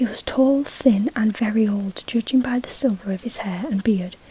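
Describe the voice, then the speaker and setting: The speaker is soft-spoken and goes at a moderate pace. Noticeable background noise runs underneath. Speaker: ASMR creator. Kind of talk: reading aloud.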